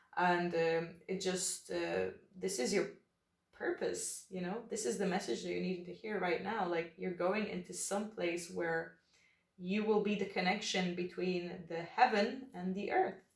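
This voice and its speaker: A woman speaks at a medium pitch and fairly slow pace, keeping her intonation fairly even. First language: not English. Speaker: tarot reader. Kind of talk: tarot reading. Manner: relaxed, hesitant with fillers.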